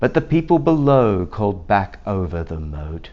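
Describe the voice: Pitched fairly low, a man talks at a moderate pace with big pitch swings.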